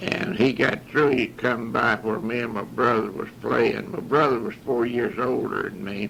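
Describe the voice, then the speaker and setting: Over noticeable background noise, a man with a Southern US accent talks at medium pitch with lively intonation and hardly any pauses. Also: moderate pace. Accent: Southern US rural. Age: 80s+. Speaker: war veteran. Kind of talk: oral history recording. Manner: halting.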